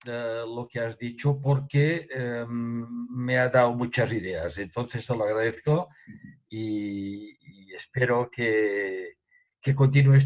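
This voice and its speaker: A man at medium pitch, very slow, with fairly even intonation and big swings in loudness. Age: 80s+. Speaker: association member. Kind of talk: audience comment. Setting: video call.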